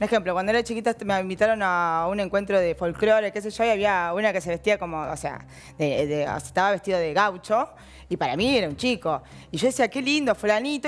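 A woman's fairly quick, medium-pitched voice with lively intonation. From Argentina. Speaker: women's football organizer; talk show guest. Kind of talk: talk show interview. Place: studio. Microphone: headset.

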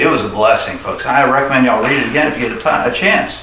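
Audible room echo and light background noise surround a man speaking at a fairly quick pace. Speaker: lay preacher. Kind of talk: sermon. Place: hall. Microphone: camera far.

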